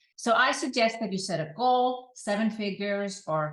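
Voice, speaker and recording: Her voice somewhat breathy and medium in pitch, a woman speaks with a non-native accent. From Iceland. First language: Icelandic. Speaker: online business coach. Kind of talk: advice talk to camera.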